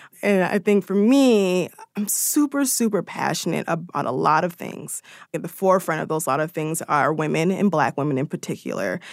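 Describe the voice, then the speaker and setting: A woman with a fairly low pitch and vocal fry talks at a moderate pace with lively intonation, recorded very cleanly against a silent background with a dry, close sound and no echo. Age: 20s. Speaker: digital media editor. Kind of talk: interview.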